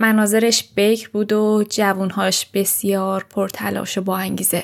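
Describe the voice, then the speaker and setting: A woman speaks very slowly with monotone, flat intonation. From Iran. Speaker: podcast host. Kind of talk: scripted narration.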